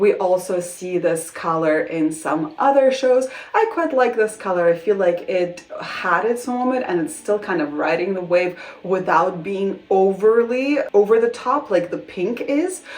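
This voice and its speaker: This speaker has a non-native accent and a fairly slow pace, with hardly any pauses. The intonation is lively, and there is noticeable background noise. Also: woman, medium pitch for a woman. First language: not English. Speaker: fashion vlogger. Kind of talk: casual vlog talk to camera. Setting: bedroom at home. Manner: casual, hesitant with restarts.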